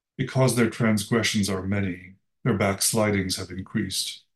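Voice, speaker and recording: A man with a fairly low pitch and a somewhat breathy voice speaks with fairly even intonation. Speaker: lay reader, co-leader of the service. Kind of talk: reading scripture aloud.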